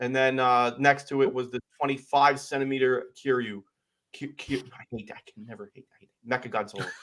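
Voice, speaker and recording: Here a man speaks at a medium pitch and a fairly quick pace. His intonation is fairly even, yet his loudness swings widely. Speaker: toy collecting show host. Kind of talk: casual chat. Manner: mumbling.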